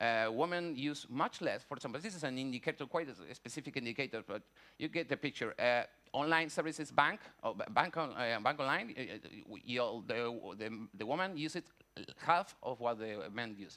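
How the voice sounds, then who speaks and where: Big swings in loudness run through speech in a Spanish accent. The tone is bright and sharp, the intonation lively. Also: man, medium pitch for a man. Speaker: conference panelist, researcher. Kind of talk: conference presentation. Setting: conference auditorium. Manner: halting, many fillers and restarts.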